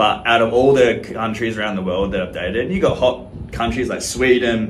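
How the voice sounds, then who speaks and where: Moderately paced male speech in an Australian accent, medium in pitch, with audible room echo and noticeable background noise. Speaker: social media creator. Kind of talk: casual to-camera monologue.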